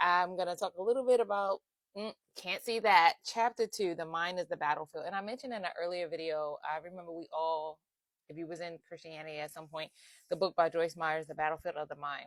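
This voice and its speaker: At a fairly quick pace, the voice shows ordinary pitch variation and big swings in loudness, with a dry, close sound, no echo, and a very clean recording with a silent background. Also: woman, fairly low pitch for a woman. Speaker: faith-based life coach. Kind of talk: casual faith talk to camera. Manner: fast.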